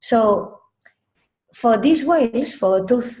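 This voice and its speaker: A woman's dark, mellow, somewhat breathy voice carries audible room echo. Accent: Spanish. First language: Spanish. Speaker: marine biologist. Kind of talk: lecture. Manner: halting.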